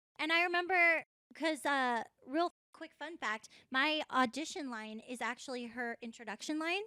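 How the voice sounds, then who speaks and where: A woman with a high, bright, sharp voice speaks in a raised, projected way at a moderate pace, her intonation lively and her loudness swinging widely, all in a dry, close recording with no echo. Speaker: voice actor on a fan game podcast panel. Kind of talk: casual panel chat. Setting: hotel room at a convention.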